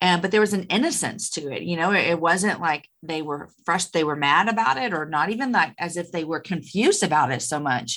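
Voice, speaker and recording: Over a very clean recording with a silent background, a woman speaks fairly quickly in a fairly low pitch with lively intonation. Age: 40s. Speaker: author and podcaster. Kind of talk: interview.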